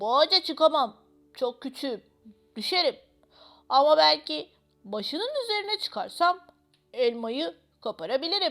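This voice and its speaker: A woman's high-pitched, put-on character voice at a moderate pace. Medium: read story.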